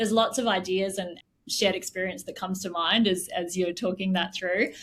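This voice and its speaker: With an Australian accent, a woman talks at a medium pitch and with fairly even intonation. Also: fairly quick pace. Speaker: tech company CEO. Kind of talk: interview conversation.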